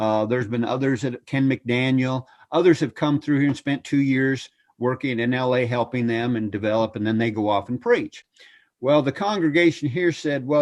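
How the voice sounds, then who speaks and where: A man's normal speaking voice at a medium pitch, fairly quick in pace, with ordinary pitch variation and a quiet background. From Canada (Ontario, cottage country north of Toronto). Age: 60s. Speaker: preacher, evangelist. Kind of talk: interview.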